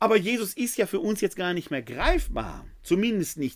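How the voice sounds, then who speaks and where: A man talks at a fairly slow pace. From Ruhr area, Germany (Essen). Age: 50s. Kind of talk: theology lecture. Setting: live webinar.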